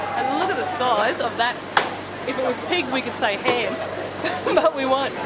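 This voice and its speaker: Someone speaks at a fairly slow pace while crowd noise fills the background. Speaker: travel vlogger. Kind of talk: casual vlog chat. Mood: amused, curious. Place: market. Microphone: camera far.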